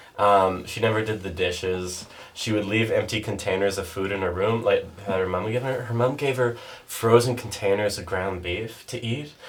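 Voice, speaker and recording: Someone with a Canadian Prairie accent speaks with fairly even intonation amid noticeable background noise and audible room echo. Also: man, fairly low pitch for a man, moderate pace. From Canada, Saskatchewan (North Battleford). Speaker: podcast guest. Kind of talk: casual chat. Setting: podcast recorded in a bathtub.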